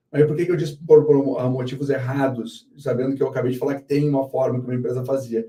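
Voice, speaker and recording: In a somewhat breathy, dark and mellow tone, a man of medium pitch speaks at a fairly quick pace with monotone, flat intonation. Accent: southern Brazilian. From southern Brazil, Porto Alegre. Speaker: company founder and CEO. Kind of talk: live interview.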